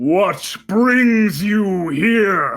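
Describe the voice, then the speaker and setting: Faint music plays in the background. The speaker uses a put-on character voice at a fairly high pitch. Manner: commanding.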